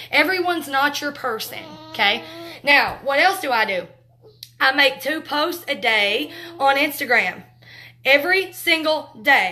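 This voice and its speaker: A woman's high-pitched, raised and projected voice, bright and sharp in tone, with lively intonation and long, frequent pauses. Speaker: makeup direct sales trainer. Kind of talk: live training talk. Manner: loud; talkative, fast.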